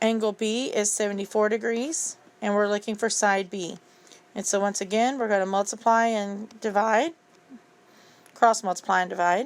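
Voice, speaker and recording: A woman in a normal speaking voice talks at a moderate pace, her fairly high pitch held in fairly even intonation. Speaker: math teacher. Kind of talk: tutorial.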